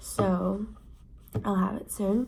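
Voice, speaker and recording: A quiet, somewhat breathy woman's voice at medium pitch, dark and mellow in tone, at a fairly slow pace. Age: young. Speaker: student vlogger. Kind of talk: casual vlog monologue. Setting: dorm room. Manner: keeping voice down, quiet; casual, filler-heavy.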